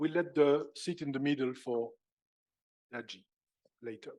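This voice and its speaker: A man speaks with a French accent. His pitch is fairly high. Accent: French accent, self-described as horrible. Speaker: conference chair. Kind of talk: conference opening speech. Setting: stage with audience. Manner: formal.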